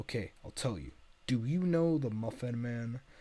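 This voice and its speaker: A put-on character voice from a man, medium pitch, moderate pace. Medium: game stream. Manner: small, frantic.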